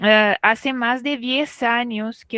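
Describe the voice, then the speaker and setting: A woman's fairly high voice, very slow and fairly even in intonation, with a dry, close sound and no echo. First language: Portuguese (speaking Spanish). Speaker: literature professor. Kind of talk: academic talk.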